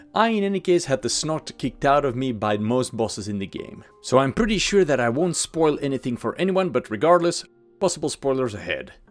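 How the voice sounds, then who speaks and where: A man with a Belgian accent speaks at a fairly quick pace, his pitch swinging very widely. Music plays in the background. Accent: Dutch-speaking Belgian accent in English. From Belgium, Dutch-speaking. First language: Dutch. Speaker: gaming YouTuber. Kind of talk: video commentary on game lore.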